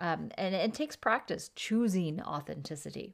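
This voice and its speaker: Against a silent background in a very clean recording, a woman with a plain, everyday voice uses lively intonation at a fairly low pitch. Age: 50s. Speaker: podcast host and leadership coach. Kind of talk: solo podcast monologue.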